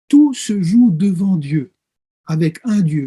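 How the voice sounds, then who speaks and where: Dry and close with no echo, a man's dark, mellow tone rides high in pitch with lively intonation. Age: 60s. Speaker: pastor and theology professor. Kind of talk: interview. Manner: hesitant, frequent filler sounds.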